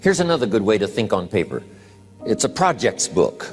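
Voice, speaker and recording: Music plays behind a man speaking at a moderate pace. His medium-pitched voice swings very widely in pitch. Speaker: motivational speaker. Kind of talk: motivational speech / sales training seminar talk.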